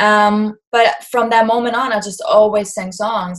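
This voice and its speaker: Somewhat breathy, a woman with a German accent speaks at a fairly slow pace. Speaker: singer-songwriter. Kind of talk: interview.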